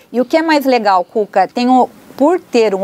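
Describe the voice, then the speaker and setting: Over noticeable background noise, a woman speaks at a high pitch with lively intonation, the sound dry and close with no echo. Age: 60s. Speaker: psychologist. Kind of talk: interview.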